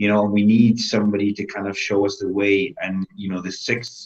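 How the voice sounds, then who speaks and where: A man with a Welsh accent, fairly low-pitched, at a moderate pace. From Wales. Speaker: bodybuilder and fitness coach. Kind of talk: interview.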